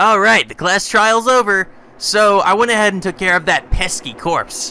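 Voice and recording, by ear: Over faint background music, a man does a put-on character voice, high-pitched and bright and sharp yet clear and smooth, at a moderate pace with ordinary pitch variation.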